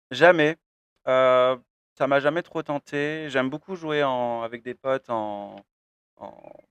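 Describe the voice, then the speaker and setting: A man talks very slowly, with long, frequent pauses and big swings in loudness. His pitch varies in an ordinary way. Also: medium pitch for a man. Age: 20s. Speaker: professional poker player. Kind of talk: interview. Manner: hesitant, many fillers.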